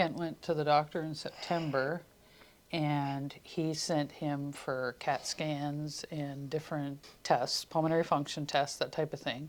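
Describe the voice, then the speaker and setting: A woman's very deep, low voice in a flat monotone at a fairly slow pace, on a very clean recording with a silent background. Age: 50s. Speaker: wife of transplant patient. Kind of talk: interview testimony. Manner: conversational.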